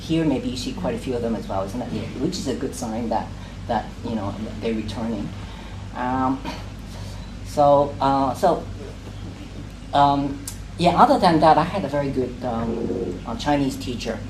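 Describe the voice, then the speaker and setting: With a Cantonese accent, a man talks at a moderate pace and medium pitch with ordinary pitch variation and long, frequent pauses, amid noticeable background noise and audible room echo. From Hong Kong, grew up in Sheung Shui. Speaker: poet. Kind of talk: casual talk to a reading group. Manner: halting, many fillers and repetitions.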